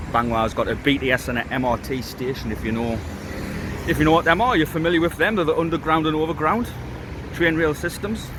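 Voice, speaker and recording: Against noticeable background noise, a man with a fairly high pitch talks very fast with lively intonation. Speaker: vlogger. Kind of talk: casual vlog talk to camera. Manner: halting.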